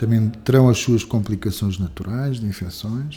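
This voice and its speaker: Somewhat breathy and dark, mellow in tone, a man speaks at a fairly low pitch and a fairly slow pace, with fairly even intonation. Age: 50s. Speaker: physician. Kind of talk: interview. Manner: halting, with frequent repetitions and fillers.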